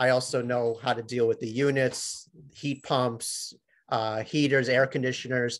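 Over a quiet background, a man speaks fairly slowly in a monotone, flat intonation. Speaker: sheet metal worker; presenter. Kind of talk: webinar presentation. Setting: video call. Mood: proud, friendly. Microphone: webcam.

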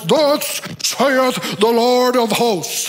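A loud, put-on character voice at a fairly high pitch comes through over clear background noise. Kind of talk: sermon. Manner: loud, proclaiming.

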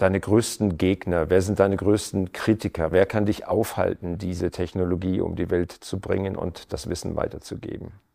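A man's fairly low voice with a dark, mellow tone, fairly even intonation and a moderate pace, on a very clean recording with a silent background. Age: middle-aged. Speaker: TV talk show host. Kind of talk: interview. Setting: home living room studio.

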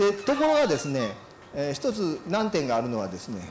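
Over light background noise and audible room echo, a man with a fairly high pitch and a nervous tone moves at a moderate pace through very wide pitch swings. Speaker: forestry company vice president, keynote speaker; keynote speaker. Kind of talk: keynote lecture. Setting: symposium hall. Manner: nervous at start. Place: hall. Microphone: handheld.

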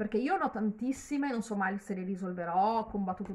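A woman speaks in a somewhat breathy voice. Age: 50s. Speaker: YouTuber; gossip vlogger. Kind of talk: casual vlog commentary. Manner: halting, with repetitions. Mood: earnest, critical, somewhat animated. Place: home room. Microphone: phone near.

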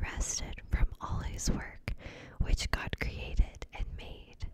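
A woman whispers at a very slow pace. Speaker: ASMR creator. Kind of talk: scripture reading. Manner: whispered, soft-spoken. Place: home room. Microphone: studio mic.

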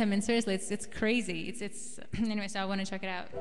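Over faint music in the background, a woman talks at a very fast pace with fairly even intonation. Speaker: singer-songwriter host. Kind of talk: casual live webcast chat. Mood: cheerful, laughing. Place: home room. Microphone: studio mic.

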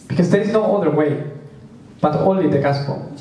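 Amid audible room echo, a man talks at a moderate pace with ordinary pitch variation. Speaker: preacher. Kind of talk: sermon. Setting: church. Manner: halting, with frequent fillers. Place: hall.

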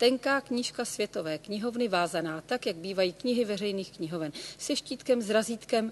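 The clip features an unforced reading voice.

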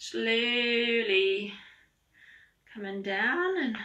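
A woman talks in a calm, gentle tone with ordinary pitch variation. The background is quiet. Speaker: yoga instructor. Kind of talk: online yoga class, guided instruction. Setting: online video class, at home. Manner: calm, gentle, encouraging, unhurried; warm, chatty, light humor. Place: home room. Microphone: camera far.

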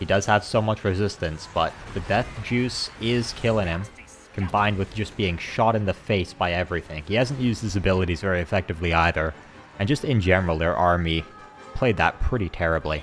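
Noticeable background noise sits behind a man speaking at a fairly quick pace in a very deep, low pitch with ordinary pitch variation. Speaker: gaming YouTuber. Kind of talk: casual gameplay commentary.

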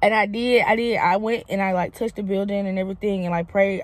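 With a Southern US accent, a woman talks at a moderate pace. The sound is dry, with no echo. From Mississippi, USA. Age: 20s. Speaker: comedian. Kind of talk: casual vlog talk to camera. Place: car. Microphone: phone near.

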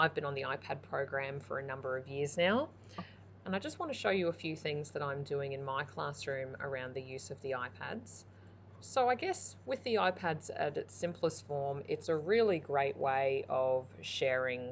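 Over light background noise, the voice sounds somewhat breathy at a moderate pace. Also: woman, very deep, low pitch for a woman. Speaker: primary school teacher. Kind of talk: explanatory presentation. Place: home room.

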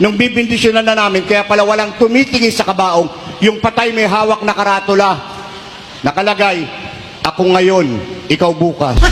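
An animated, deadpan male voice, high-pitched, with very even loudness at a fairly quick pace, amid noticeable background noise. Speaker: priest. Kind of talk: stand-up comedy in a homily. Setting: church congregation with audience. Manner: animated, joke-cracking, deadpan punchlines; pauses for audience laughter.

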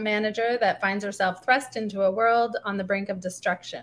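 This woman has a Canadian accent and a bright, sharp tone. Her intonation stays fairly even. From Canada, northern Ontario, military bases. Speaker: novelist. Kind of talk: reading aloud; live reading of fiction excerpt. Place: home room. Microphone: webcam.

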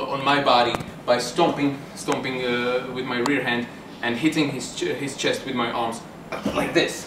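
There is noticeable background noise behind a man's voice. He talks at a moderate pace with fairly even intonation. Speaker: self-defence instructor. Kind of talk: tutorial. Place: bar. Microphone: camera far.

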